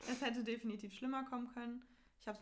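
Intonation stays monotone and flat. There is a somewhat breathy quality throughout. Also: woman. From northern Germany, near Hamburg. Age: young. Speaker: university student. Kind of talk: casual chat. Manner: laughing often.

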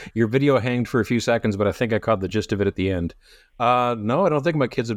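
Speaking very fast in a Canadian accent, a man uses a medium pitch with ordinary pitch variation against a quiet background. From Canada. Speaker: podcast co-host discussing a novel. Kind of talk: casual chat.

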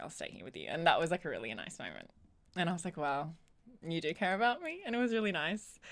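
A woman in an Australian accent, fairly low in pitch, with lively intonation. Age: 20s. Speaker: podcast co-host. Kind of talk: casual chat.

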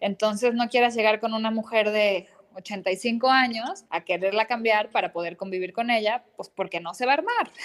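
Hardly any pauses break up a woman's normal speaking voice at a fairly high pitch. She keeps a moderate pace with ordinary pitch variation. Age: 30s. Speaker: psychoanalyst. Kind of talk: interview conversation.

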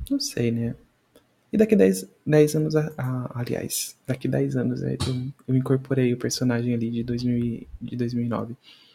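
Somewhat breathy, with a dark, mellow tone, a man speaks at a medium pitch and a fairly slow pace. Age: 20s. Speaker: podcast host. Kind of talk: casual solo commentary. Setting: home recording, video podcast. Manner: halting, frequent repetitions.

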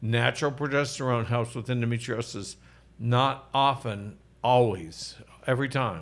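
A man's medium-pitched voice with an American accent, a normal speaking voice, and fairly even intonation. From Oklahoma. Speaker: physician and podcast host. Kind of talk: casual health talk show. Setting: studio. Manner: jokey, laughs often.

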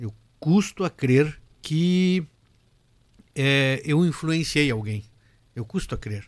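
A man's fairly high, lively voice at a very slow pace, broken by long, frequent pauses. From Rio Grande do Sul, Brazil (Cruz Alta). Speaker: accordionist and lawyer. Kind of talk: casual interview. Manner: halting.

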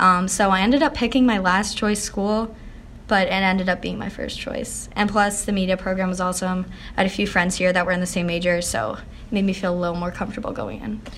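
With an American accent, a woman at medium pitch and ordinary pitch variation talks at a very fast pace, with audible room echo around her. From Pennsylvania, near Philadelphia. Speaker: college student, aspiring TV director. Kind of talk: interview, casual chat. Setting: college building lobby.

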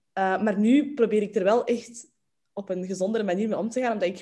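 A woman of medium pitch speaks at a moderate pace in a dark, mellow tone with ordinary pitch variation. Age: 20s. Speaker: entrepreneur in inclusive communication. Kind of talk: casual chat. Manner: energetic, enthusiastic.

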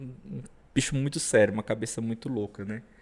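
An unremarkable speaking voice from a man, fairly quick in pace, with ordinary pitch variation. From Brazil, southern Pará (Parauapebas). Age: 30s. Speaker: racing driver. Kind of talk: casual interview chat.

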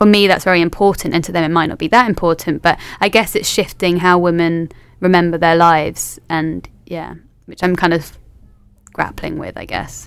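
A woman with a London accent speaks at a moderate pace with big swings in loudness, on a very clean recording with a silent background. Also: fairly low pitch for a woman, fairly even intonation. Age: 20s. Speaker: history PhD student. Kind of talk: casual chat.

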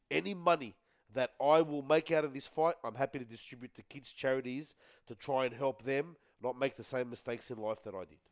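In a dry, close sound with no echo, a man with an Australian accent talks at a fairly quick pace, with ordinary pitch variation and big swings in loudness. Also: medium pitch for a man. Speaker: rugby league podcast panelist. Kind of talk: casual sports chat. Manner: loud, shouty.

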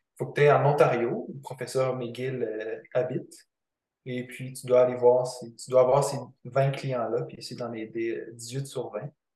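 Dark, mellow, somewhat breathy male voice at medium pitch, fairly slow and monotone, with big swings in loudness. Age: 20s. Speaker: kinesiologist. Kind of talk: interview.

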